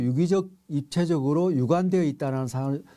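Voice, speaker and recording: This man has a dark, mellow tone. His pitch variation is ordinary. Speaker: professor. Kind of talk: lecture. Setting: online lecture recording. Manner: halting with fillers.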